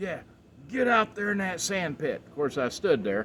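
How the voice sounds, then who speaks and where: Speaking at a moderate pace, a man with an American accent uses lively intonation. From Texas. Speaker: Marine Corps veteran. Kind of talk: casual chat.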